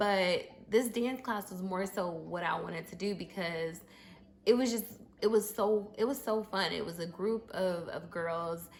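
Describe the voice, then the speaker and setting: The voice is somewhat breathy, with ordinary pitch variation. Its pace is fairly slow. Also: woman, medium pitch for a woman. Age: 30s. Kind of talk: casual story time talk to camera. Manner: casual, conversational, with many fillers.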